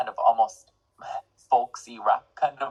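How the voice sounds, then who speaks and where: An Irish accent in a dry, close sound with no echo. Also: man. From Ireland. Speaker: singer-songwriter and music student. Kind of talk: interview.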